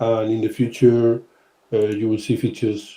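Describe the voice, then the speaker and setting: A man with a Spanish accent speaks at a medium pitch and moderate pace. His voice is somewhat breathy with a dark, mellow tone. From Spain. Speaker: podcast host, sportswear brand team member. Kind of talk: casual podcast chat. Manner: halting, frequent fillers.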